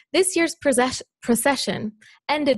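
Recorded with a dry sound with no echo over a quiet background, a woman speaks at a moderate pace. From Palestine, Bethlehem; Palestine. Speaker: student; speaker. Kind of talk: prepared response. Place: hall. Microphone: podium.

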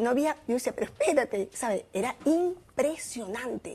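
Her voice is high. The woman's intonation is lively. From Venezuela. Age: 50s. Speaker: former vice minister and fitness promoter; former vice minister. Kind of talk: interview. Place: studio. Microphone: lapel.

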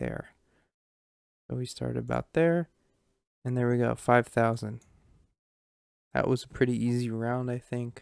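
Against a quiet background, a man talks at a fairly slow pace with long, frequent pauses, the sound dry with no echo. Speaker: gamer streamer. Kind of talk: gameplay commentary.

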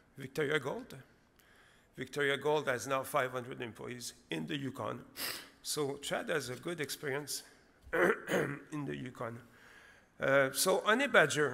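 A man speaks at a fairly slow pace, leaving long, frequent pauses. His bright, sharp tone carries vocal fry. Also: ordinary pitch variation. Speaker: presenter. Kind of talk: conference presentation. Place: hall. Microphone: podium.

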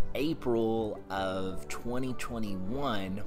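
A man is speaking. Clear music plays behind him. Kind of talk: market update commentary. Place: home room. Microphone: phone near.

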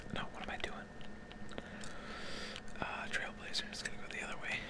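Loud background noise sits behind a man's voice. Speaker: ASMR content creator. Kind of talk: casual talk to camera, gaming commentary. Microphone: studio mic.

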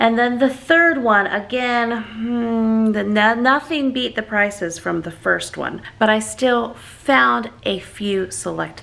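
Very slow-paced woman's voice over light background noise. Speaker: family vlogger. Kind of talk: casual vlog chat. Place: home room. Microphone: phone near.

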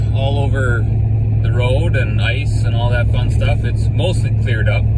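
A man speaks at a moderate pace, his sound dry with no echo, against loud background noise. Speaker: driver reviewing tires. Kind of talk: casual vlog chat. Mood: relaxed, pleased. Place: car. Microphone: phone near.

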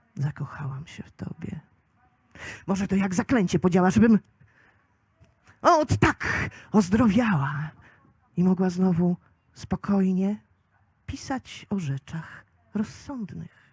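In a dry, close sound with no echo, a woman of medium pitch speaks very slowly and somewhat breathily, with lively intonation, big swings in loudness and long, frequent pauses. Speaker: slam poet. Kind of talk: poetry slam performance. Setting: live outdoor event.

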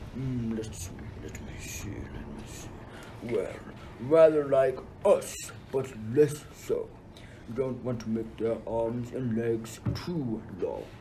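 Doing a put-on character voice at a medium pitch, a man speaks at a very slow pace with long, frequent pauses over clear background noise. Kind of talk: school radio play acting. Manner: imperious, wrathful.

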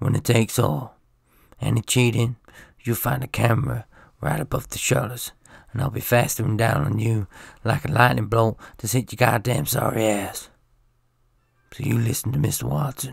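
A gruff put-on character voice at a moderate pace, with long, frequent pauses. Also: man, medium pitch for a man. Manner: threatening, gruff.

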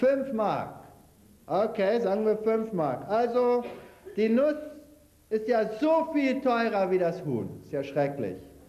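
A man with a high pitch speaks very slowly, his pitch swinging very widely, with long, frequent pauses and audible room echo. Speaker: lecturer on health and nutrition; lecturer on health. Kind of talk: lecture with cooking demonstration. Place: hall.

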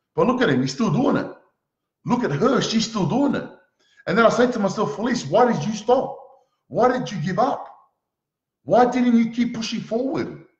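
Over a quiet background with audible room echo, a man with a high pitch and an animated tone speaks at a moderate pace, using lively intonation and long, frequent pauses. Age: 20s. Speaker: motivational speaker. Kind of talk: motivational talk. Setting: live stream. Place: home room. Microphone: webcam.

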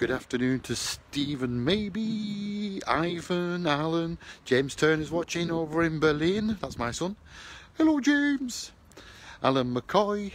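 A man at a slow pace, pitched fairly high, with lively intonation

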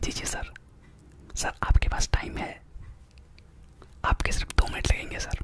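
Whispering at a fairly slow pace, a man is heard in a dry room with no echo and light background noise. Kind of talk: comedic role-play phone call. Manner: close-mic whispered sales pitch. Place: home room. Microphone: studio mic.

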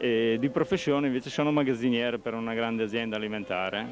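Over light background noise, a man speaks with ordinary pitch variation in a dry sound with no echo. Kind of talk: interview answer. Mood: modest, slightly shy. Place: market. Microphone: handheld.

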